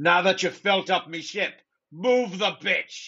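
In a put-on character voice, a man speaks at a high pitch and a fairly slow pace. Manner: gruff, barking.

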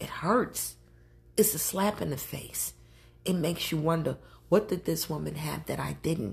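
Vocal fry at a moderate pace. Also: woman. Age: 40s. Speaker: podcast host. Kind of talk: casual solo monologue. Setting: home recording while drinking. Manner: casual, conversational.

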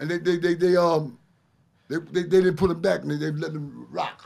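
Talking at a fairly quick pace, a man with a Brooklyn accent speaks at a high pitch. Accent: Brooklyn New York. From Brooklyn, New York. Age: 60s. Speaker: ex-inmate guest. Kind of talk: casual chat.

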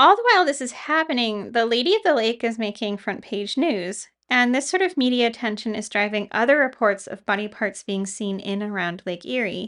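A woman with an ordinary speaking voice, fairly high in pitch, at a fairly quick pace with lively intonation and hardly any pauses, over a quiet background. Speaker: podcast co-host. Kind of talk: true-crime narration, scripted storytelling of the case in a measured, serious tone. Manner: measured, serious, steady.

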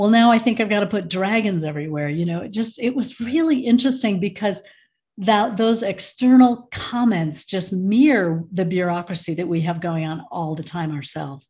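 Speaking at a moderate pace with an American accent, a woman with a medium pitch sounds somewhat breathy, her intonation lively against a quiet background. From US Midwest, Michigan. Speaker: end of life educator. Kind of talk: casual interview.

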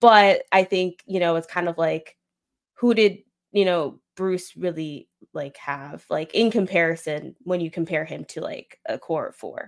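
A woman with an American accent and a normal speaking voice talks fairly slowly at a fairly low pitch with ordinary pitch variation, in a very clean recording with a silent background. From Florida. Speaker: podcaster. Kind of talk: casual chat.

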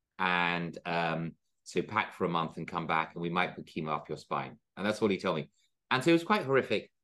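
Against a quiet background, a man with a very deep, low pitch and a bright, sharp tone talks at a fairly quick pace with ordinary pitch variation. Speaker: resort entrepreneur. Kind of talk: interview. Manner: halting.

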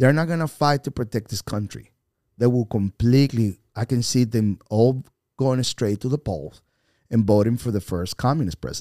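On a very clean recording with a silent background and a dry, close sound with no echo, a man with a Spanish accent speaks at a moderate pace in a medium pitch with a dark, mellow tone. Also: ordinary pitch variation. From Venezuela. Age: 50s. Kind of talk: podcast interview.

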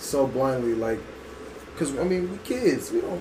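A man's fairly high voice at a moderate pace, with noticeable background noise and audible room echo. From Berkeley, California. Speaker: former college athlete, student. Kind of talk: casual chat.

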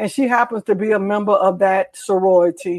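A woman uses an ordinary speaking voice, pitched in the medium range and delivered at a moderate speed. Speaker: talk show host. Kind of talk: casual chat. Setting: video call.

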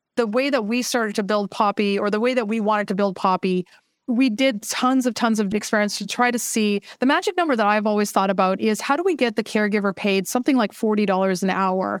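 A woman speaks at a very fast pace in a fairly high voice with ordinary pitch variation. Her loudness is very even, and there are hardly any pauses. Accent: Canadian. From Canada, Vancouver. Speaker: startup founder. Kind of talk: interview.

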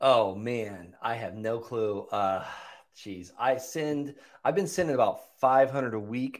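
At a fairly slow pace, a man with a plain, everyday voice talks at a medium pitch with lively intonation. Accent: American. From Florida (Okeechobee), US South. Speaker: real estate investor and coach, army veteran. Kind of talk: interview, casual chat.

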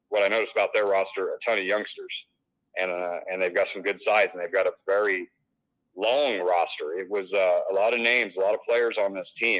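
A man with a Midwestern US accent at a fairly quick pace. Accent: US Midwest. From Illinois. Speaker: sports director and high school football analyst. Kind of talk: sports preview breakdown.

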